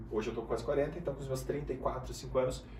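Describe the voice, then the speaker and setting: Moderate-paced speech from a man amid audible room echo and noticeable background noise. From Brazil, Guarulhos (São Paulo). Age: 30s. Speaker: business mentor. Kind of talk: casual interview.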